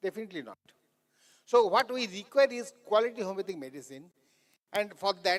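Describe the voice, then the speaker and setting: A man talks at a fairly quick pace in a high pitch with lively intonation and big swings in loudness, broken by long, frequent pauses. The sound is dry and close with no echo. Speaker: conference speaker on homeopathic pharmacy. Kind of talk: lecture. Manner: fast; halting, with false starts.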